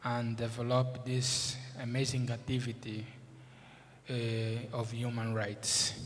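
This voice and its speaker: Audible room echo surrounds a man who talks at a very slow pace in a medium pitch with monotone, flat intonation. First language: Portuguese. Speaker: moot court judge. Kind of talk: formal speech. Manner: halting, many fillers.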